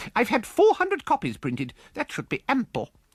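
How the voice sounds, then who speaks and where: This man uses a put-on character voice pitched extremely high. He talks at a fairly quick pace. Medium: read story. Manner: brisk, bright, forthright.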